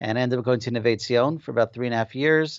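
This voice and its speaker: A man talks at a very fast pace with a New Jersey accent. His pitch is medium. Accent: New Jersey American. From New Jersey, Passaic. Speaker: software company founder. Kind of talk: interview.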